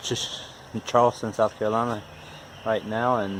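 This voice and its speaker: A man with an Appalachian accent speaks in a fairly low voice. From West Virginia. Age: 40s. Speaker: DIY car repair YouTuber. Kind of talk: casual DIY tutorial talk. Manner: halting, with repetitions and fillers.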